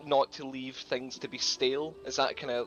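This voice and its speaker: In a Scottish accent, a man speaks at a medium pitch with monotone, flat intonation while music plays in the background. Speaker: gamer asking questions. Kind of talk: live Q&A question. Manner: fast.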